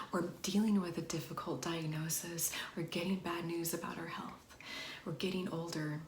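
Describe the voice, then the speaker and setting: A woman speaks in a monotone with flat intonation and a fairly low pitch. Her tone is gentle and warm, and background noise is noticeable. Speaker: wellness and ASMR video creator. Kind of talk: ASMR-style soft-spoken talk to camera. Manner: gentle, warm, slow, reassuring.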